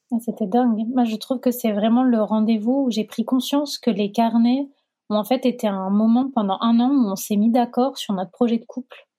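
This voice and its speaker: A woman talks at a moderate pace in an unremarkable speaking voice. Her pitch sits fairly high and her intonation stays fairly even. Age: 30s. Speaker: sociologist. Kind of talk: testimony.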